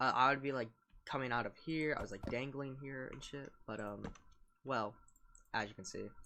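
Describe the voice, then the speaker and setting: A man's bright, sharp, medium-pitched voice at a moderate pace, with ordinary pitch variation, big swings in loudness, and long, frequent pauses. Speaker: gaming YouTuber. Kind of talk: casual gameplay walkthrough. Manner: casual with fillers.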